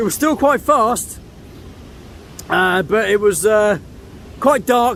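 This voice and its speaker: A man speaks at a high pitch with ordinary pitch variation. Noticeable background noise runs underneath. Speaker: landscape photographer and vlogger. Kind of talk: outdoor vlog narration. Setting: outdoors by waterfall.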